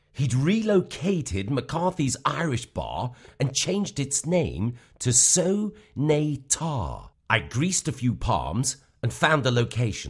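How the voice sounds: Putting on a character voice, a man talks slowly with few pauses, big pitch swings, and a slightly husky edge. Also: medium pitch for a man.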